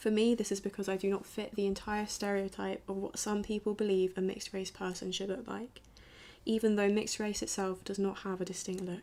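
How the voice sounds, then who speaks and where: Delivered with a southern English accent, the voice has a dark, mellow tone. It moves at a fairly quick pace with monotone, flat intonation. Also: woman, medium pitch for a woman. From southern England, Brighton. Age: 20s. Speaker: student filmmaker. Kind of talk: documentary narration.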